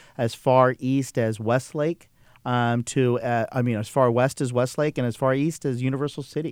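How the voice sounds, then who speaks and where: Recorded very cleanly against a silent background, a man speaks at a medium pitch. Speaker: highway patrol officer. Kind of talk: radio interview. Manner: hesitant, filler-heavy.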